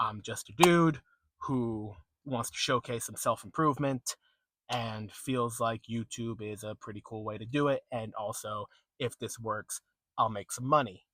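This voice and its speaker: A man with a bright, sharp tone speaks at a fairly slow pace with big swings in loudness, recorded very cleanly with a silent background and a dry, close sound with no echo. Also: medium pitch for a man, ordinary pitch variation. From New England. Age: 20s. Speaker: vlogger. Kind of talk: casual vlog monologue. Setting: in a car.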